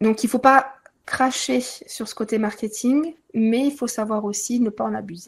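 Speaking at a fairly slow pace, a woman has an unremarkable speaking voice with a fairly high pitch and ordinary pitch variation. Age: 30s. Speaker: Reiki teacher. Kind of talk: interview.

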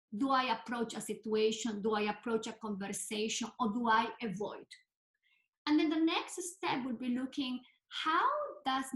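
An ordinary speaking voice is heard here, its pitch varying in an ordinary way. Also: woman. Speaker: clinical psychologist. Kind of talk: interview conversation.

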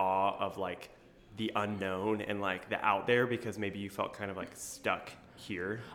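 Fairly low-pitched man's voice at a moderate pace, fairly even intonation, audible room echo. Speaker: podcast host and high school teacher. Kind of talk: casual chat. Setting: conference room of a coffee shop. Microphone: echoey room sound.

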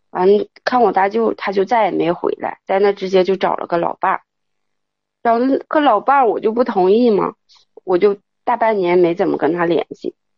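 At a moderate pace and medium pitch, a woman speaks with long, frequent pauses. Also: ordinary pitch variation. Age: 30s. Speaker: caller. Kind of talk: call-in confession. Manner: halting.

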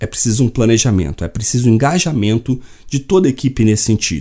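At a very fast pace, a man with a dark, mellow tone and vocal fry speaks with lively intonation. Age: 40s. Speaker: podcast host. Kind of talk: solo podcast monologue.

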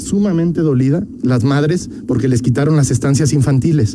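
A fairly high-pitched man speaks against noticeable background noise. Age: 30s. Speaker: politician, congressional candidate. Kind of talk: radio interview.

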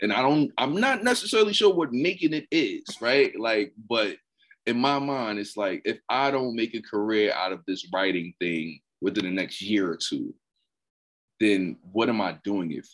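The recording is very clean and the background silent. In it, a man speaks at a moderate pace. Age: 30s. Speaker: poet. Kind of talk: casual chat.

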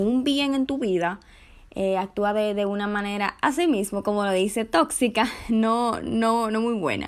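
A woman speaks very slowly at a fairly high pitch with ordinary pitch variation. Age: 20s. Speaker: podcast host, communication student. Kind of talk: casual solo podcast monologue.

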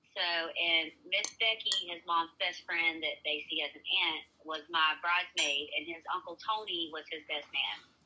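Against noticeable background noise, the speaker, with a Southern US accent, talks at a fairly slow pace with fairly even intonation and big swings in loudness. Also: woman, fairly low pitch for a woman. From US South. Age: 30s. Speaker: social media creator. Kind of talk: storytelling.

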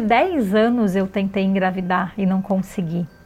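A somewhat breathy woman at a fairly slow pace. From Brazil, Florianópolis. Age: 40s. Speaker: yoga teacher. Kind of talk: personal monologue.

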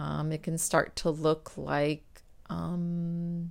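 The voice is a woman's, fairly low in pitch. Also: very clean recording, silent background. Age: 40s. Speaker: physical therapist and podcast host. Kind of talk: solo podcast monologue.

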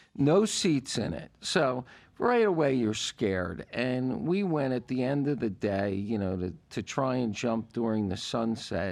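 A man with an unremarkable speaking voice and medium pitch talks at a fairly slow pace with lively intonation and hardly any pauses. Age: 60s. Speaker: podcast co-host. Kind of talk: casual chat.

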